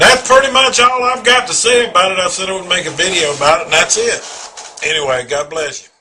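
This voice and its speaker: Raised and projected, a man's high-pitched voice races along at a fairly quick pace with very wide pitch swings and hardly any pauses. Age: 40s. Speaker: contributor sharing life story. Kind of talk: personal testimony. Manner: halting.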